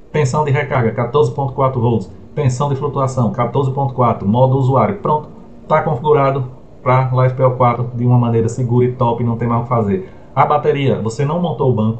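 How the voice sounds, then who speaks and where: Someone speaks at a moderate pace in a somewhat breathy voice. Light background noise can be heard. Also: man. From Brazil. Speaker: solar energy YouTuber; solar energy tutor. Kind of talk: tutorial. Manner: animated. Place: home room.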